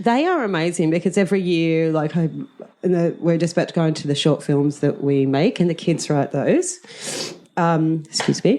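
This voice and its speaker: With an Australian accent, a woman speaks at a moderate pace in a fairly low pitch with ordinary pitch variation. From rural Australia. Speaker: drama teacher. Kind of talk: interview. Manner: loud; energetic.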